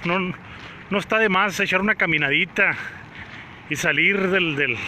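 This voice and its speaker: A raised, projected voice at a moderate pace over light background noise. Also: man. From Mexico, Sonora (Guaymas); Sonora, Mexico. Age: 30s. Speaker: actor and vlogger; actor, vlogger. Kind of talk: live-streamed walking vlog. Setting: outdoors on a city walk. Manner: casual, chatty. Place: street. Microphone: phone near.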